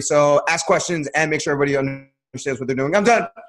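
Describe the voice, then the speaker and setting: A man talks at a very fast pace. His voice is fairly high, with ordinary pitch variation. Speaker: bootcamp trainer. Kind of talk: panel discussion.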